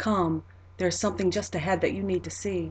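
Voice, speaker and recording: Using a put-on character voice, a woman talks soft-spoken and breathy at a fairly quick pace. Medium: read story. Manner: gentle, warm, softly amused.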